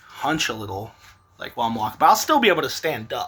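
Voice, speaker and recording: A man's voice against noticeable background noise. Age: 30s. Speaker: vlogger. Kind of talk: casual vlog monologue. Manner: casual, filler-heavy.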